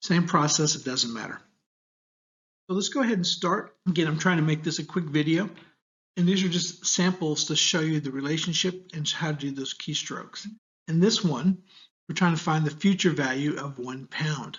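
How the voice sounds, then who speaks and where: A man with an American accent and a plain, everyday voice, fairly high-pitched, with ordinary pitch variation and a moderate pace. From United States. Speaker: university lecturer. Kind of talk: tutorial. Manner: casual, conversational.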